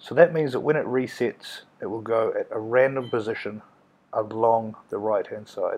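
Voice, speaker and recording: This is a man speaking. He talks with a New Zealand accent. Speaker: primary school teacher. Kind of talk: coding tutorial narration.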